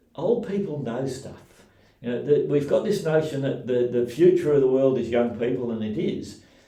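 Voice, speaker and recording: A man with an Australian accent talks at a moderate pace and medium pitch. His pitch variation is ordinary, and background noise is noticeable. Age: 60s. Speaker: community radio founder. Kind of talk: interview. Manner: halting, frequent fillers.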